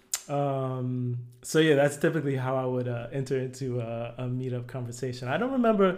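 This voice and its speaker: Amid audible room echo, a man speaks at a medium pitch and moderate pace with ordinary pitch variation. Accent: American. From New Jersey, US. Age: 40s. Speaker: product designer. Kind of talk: casual interview.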